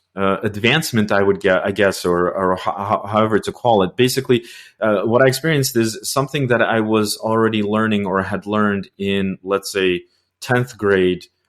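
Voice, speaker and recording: The man's voice sits fairly low, and its pitch varies in an ordinary way. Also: moderate pace, very clean recording, silent background. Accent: Russian. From Russia (Soviet Union). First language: Russian. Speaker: podcast host, news editor. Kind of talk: interview. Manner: halting, many repetitions.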